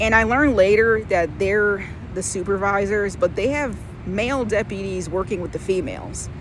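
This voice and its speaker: The recording carries audible room echo and noticeable background noise. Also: woman, medium pitch for a woman, ordinary pitch variation, moderate pace. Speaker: vlogger. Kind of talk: casual storytelling vlog. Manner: loud; casual, filler-heavy.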